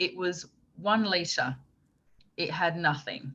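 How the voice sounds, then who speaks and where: Lively intonation carries a woman's fairly low-pitched voice. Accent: English. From England, Essex. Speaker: motorsport media presenter. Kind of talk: podcast interview. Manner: animated.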